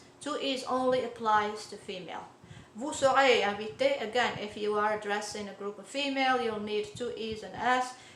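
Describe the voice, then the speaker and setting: A woman speaks with ordinary pitch variation and big swings in loudness. Noticeable background noise and audible room echo fill the recording. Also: fairly high pitch for a woman, moderate pace. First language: Arabic (also French). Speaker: language teacher. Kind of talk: tutorial. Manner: halting, many fillers.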